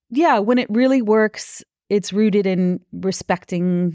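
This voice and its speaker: Recorded with a dry, close sound and no echo, a woman with an American accent speaks in a dark, mellow tone at a fairly slow pace. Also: very clean recording, silent background. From US Midwest, Minnesota. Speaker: union leader and labor advocate. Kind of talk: interview conversation.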